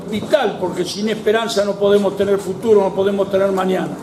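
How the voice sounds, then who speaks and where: Over noticeable background noise and audible room echo, a man talks at a fairly quick pace in a high pitch. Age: 70s. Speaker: evangelical pastor and former union member. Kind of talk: political rally speech.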